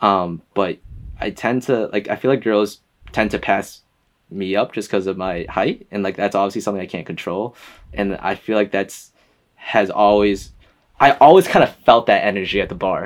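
With an American accent, a man talks at a moderate pace and fairly low pitch, with ordinary pitch variation and an unremarkable speaking voice. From US Northeast (Boston, then Connecticut). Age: 20s. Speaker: podcast guest, photographer. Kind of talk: casual chat.

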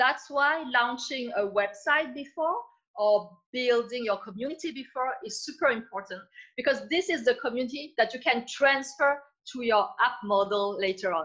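A bright, sharp tone in a French accent, with lively intonation at a moderate pace. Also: woman, high pitch for a woman. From France. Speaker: entrepreneur. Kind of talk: interview.

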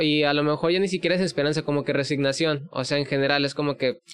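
A man's ordinary speaking voice at a fairly high pitch, with a fairly quick pace and fairly even intonation. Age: 20s. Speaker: podcast host. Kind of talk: casual interview.

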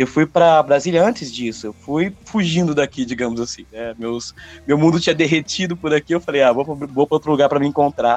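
This man has an unremarkable speaking voice at a fairly high pitch. He talks at a fairly quick pace. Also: ordinary pitch variation. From interior of São Paulo state, Brazil. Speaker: rock singer and songwriter. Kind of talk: casual interview chat.

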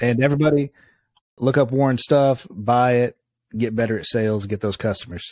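This man has an ordinary speaking voice, pitched in the medium range. His delivery is fairly quick, and his pitch varies in an ordinary way. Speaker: podcast host. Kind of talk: interview conversation.

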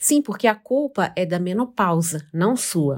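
With a normal speaking voice, a woman talks at a moderate pace with lively intonation on a very clean recording with a silent background. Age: 50s. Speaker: podcast host. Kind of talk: scripted narration.

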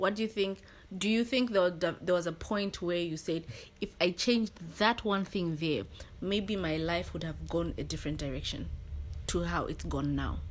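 Vocal fry marks a woman's fairly low-pitched voice. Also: ordinary pitch variation, moderate pace. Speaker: podcast host. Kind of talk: casual chat.

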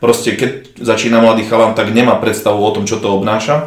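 Someone talks at a fairly quick pace in a monotone, flat way, with audible room echo and noticeable background noise. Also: man. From eastern Slovakia. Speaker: bodybuilder. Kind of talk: casual interview.

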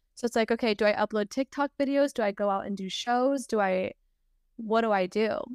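Fairly even intonation at a fairly quick pace, dry and close with no echo, in a very clean recording with a silent background. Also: woman, fairly high pitch for a woman. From United States. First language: Spanish. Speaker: singer. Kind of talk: casual interview chat.

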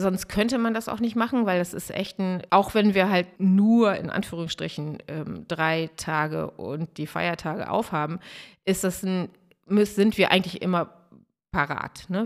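Fairly slow and with ordinary pitch variation, a woman at medium pitch shows big swings in loudness on a very clean recording with a silent background, an unremarkable speaking voice. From northern Germany, Dangast (Friesland). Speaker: restaurant owner from a family business. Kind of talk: interview.

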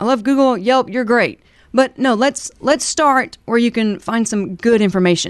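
A woman with a Southern US accent, animated in tone with lively intonation, over a quiet background. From US South, southern Alabama. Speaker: moving company owner. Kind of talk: business interview.

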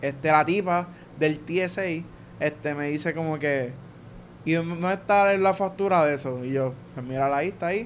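This man speaks at a moderate pace. His pitch is fairly high, with ordinary variation. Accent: Puerto Rican. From Puerto Rico, Guaynabo. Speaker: podcast guest, traveler. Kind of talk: casual chat, travel stories. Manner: animated.

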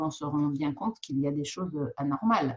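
This woman has a very deep, low pitch with ordinary pitch variation. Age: 60s. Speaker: physician. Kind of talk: interview. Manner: halting, frequent repetitions.

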